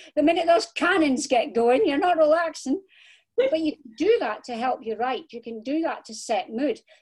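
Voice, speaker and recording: A woman's high voice in a Scottish accent, at a moderate pace, with very wide pitch swings and big swings in loudness. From Scotland. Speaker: crime novelist. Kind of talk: interview.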